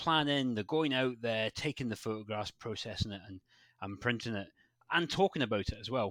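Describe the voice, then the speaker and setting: A man with a Scottish accent talks at a fairly quick pace, his medium pitch showing ordinary variation and his loudness swinging widely, in a very clean, dry, close recording with no echo and a silent background. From Scotland, West Highlands. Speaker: landscape photographer. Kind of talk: podcast interview. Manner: halting, many repeats and fillers.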